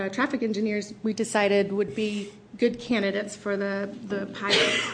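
A woman speaks at a moderate pace in a plain, everyday voice, her pitch fairly high. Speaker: transit project manager. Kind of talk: formal presentation. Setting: hearing room, broadcast.

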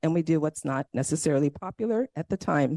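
A woman's unremarkable speaking voice, fairly quick and lively in intonation, with a dry, close sound, no echo and a quiet background. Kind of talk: public comment.

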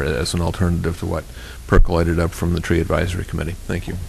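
A man speaks with a very deep, low pitch. Noticeable background noise is present. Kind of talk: formal council meeting.

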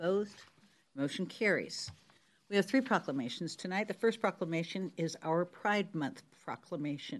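A woman talks in an unremarkable speaking voice. Her pitch is medium, and the background is quiet. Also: lively intonation, moderate pace. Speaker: mayor chairing council meeting. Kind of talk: formal meeting chairing. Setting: hybrid council meeting.

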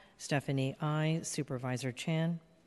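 A woman with a very deep, low pitch speaks with fairly even intonation against a quiet background. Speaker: clerk of legislative board. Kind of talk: formal roll call and agenda reading. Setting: legislative chamber in city hall. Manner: formal.

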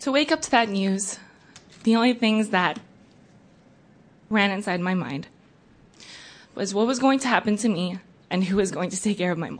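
Somewhat breathy, a woman speaks at a medium pitch and a moderate pace, with ordinary pitch variation and long, frequent pauses. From came to US age four, immigrant. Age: 20s. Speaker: public commenter, DACA recipient. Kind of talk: public testimony.

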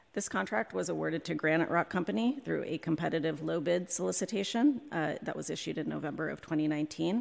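A woman talking at a fairly quick pace, with hardly any pauses. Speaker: city contracting office director. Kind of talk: formal presentation to committee. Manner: hesitant, many fillers.

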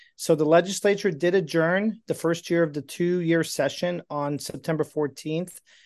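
A man's fairly high-pitched voice with fairly even intonation, a normal speaking voice, against a quiet background. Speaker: state legislative advocate. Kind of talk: formal report. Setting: video call.

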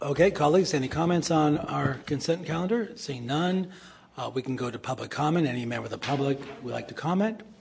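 Speaking at a very fast pace with lively intonation, a man with a fairly high pitch comes through over noticeable background noise. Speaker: committee chair, local politician. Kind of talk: chairing a public meeting. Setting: government committee meeting room.

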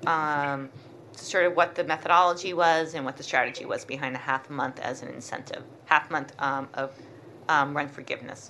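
Bright and sharp in tone, a woman's voice moves at a moderate pace. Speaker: port commissioner. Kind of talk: public meeting discussion.

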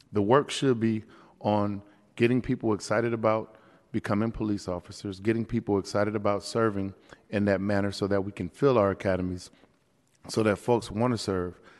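A man's unremarkable speaking voice, fairly low in pitch, at a fairly quick pace with fairly even intonation, over a quiet background. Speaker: city supervisor, vice chair. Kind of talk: formal committee debate.

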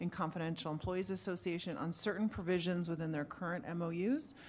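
A woman speaks in a plain, everyday voice. Her pitch is fairly low and her pace fairly quick. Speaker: city manager. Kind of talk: formal staff reply to council.

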